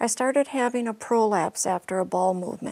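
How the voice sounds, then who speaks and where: A woman with a normal speaking voice talks at a moderate pace with ordinary pitch variation, in a dry, close recording without echo. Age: 60s. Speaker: patient. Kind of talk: testimony.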